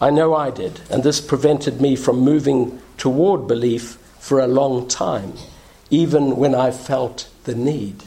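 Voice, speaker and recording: Fairly high-pitched with some vocal fry, a man talks at a fairly slow pace. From South Africa. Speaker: minister. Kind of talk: sermon. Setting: church.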